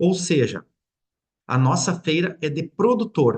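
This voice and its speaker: A man with a high pitch at a moderate pace. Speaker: mayor. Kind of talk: webinar presentation. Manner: halting, with repetitions and fillers.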